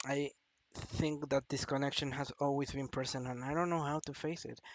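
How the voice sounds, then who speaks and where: A man with a non-native accent, fairly high-pitched, at a moderate pace and in a flat monotone. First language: not English. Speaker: vlogger. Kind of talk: personal confession monologue. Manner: halting.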